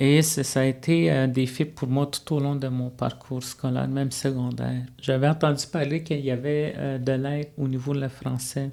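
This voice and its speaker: A man with a Quebec accent speaks in a medium, dark, mellow voice at a moderate pace. His intonation stays monotone and flat, with hardly any pauses. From Manawan, Atikamekw community, Quebec. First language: Atikamekw (speaking French). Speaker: college student life facilitator. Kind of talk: interview. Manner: hesitant, many fillers.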